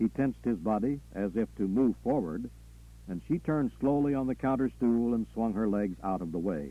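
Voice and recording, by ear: Someone reads aloud in a natural voice.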